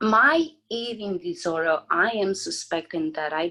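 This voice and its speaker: This is a woman speaking. She has a Romanian accent. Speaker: mental health advocate. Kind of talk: podcast interview.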